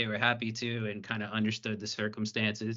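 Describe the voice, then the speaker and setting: A man with a Southern US accent speaks at medium pitch and a moderate pace. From US South. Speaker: PR professional, podcast host. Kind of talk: casual discussion.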